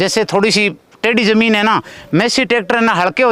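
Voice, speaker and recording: Here a man speaks with a bright, sharp tone at a high pitch. The sound is dry and close, with no echo. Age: 60s. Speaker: farmer. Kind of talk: customer testimonial interview.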